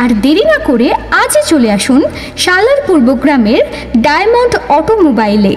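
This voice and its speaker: A high-pitched woman's voice with very wide pitch swings and very even loudness, over music in the background. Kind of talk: loudspeaker promotional ad read.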